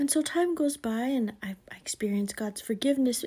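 In a very clean recording with a silent background, a woman speaks at a high pitch with a dark, mellow tone and lively intonation. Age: 40s. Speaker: podcast host. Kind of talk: faith-based monologue.

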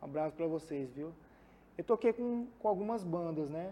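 A man's high-pitched voice with a dark, mellow tone and lively intonation. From Mato Grosso, Brazil (Cuiabá). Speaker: music producer. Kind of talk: casual interview.

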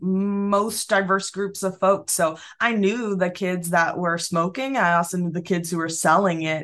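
Speaking with an American accent, a woman uses an ordinary speaking voice at medium pitch, going at a fairly slow pace with hardly any pauses. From Massachusetts, Springfield. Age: 20s. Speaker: business founder. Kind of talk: interview.

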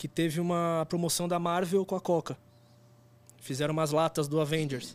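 In a dry, close sound with no echo, a man talks at a moderate pace and fairly high pitch with monotone, flat intonation. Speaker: photographer and former band drummer. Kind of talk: casual chat.

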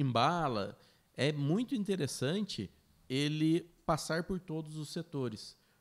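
In a very clean recording with a silent background, a man with a plain, everyday voice speaks fairly slowly, his pitch fairly high and his intonation lively. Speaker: business owner, podcast co-host. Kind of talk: casual chat.

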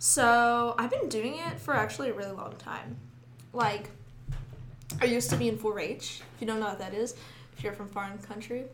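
A woman with an American accent speaks at a fairly quick pace and a fairly high pitch, with very wide pitch swings. Long, frequent pauses break up her speech, and audible room echo surrounds it. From Sidney. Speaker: college student. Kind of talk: casual chat.

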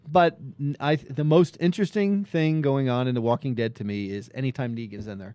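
A man talks with an unremarkable speaking voice at a medium pitch and fairly quick pace. His intonation is lively, and the sound is dry and close with no echo. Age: 50s. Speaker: sports podcast co-host. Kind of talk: casual chat.

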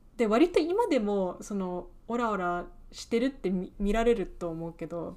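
A woman speaking fairly slowly, her pitch swinging very widely and her loudness rising and falling a lot. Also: medium pitch for a woman. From England. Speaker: podcast co-host, aspiring screenwriter. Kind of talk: casual chat.

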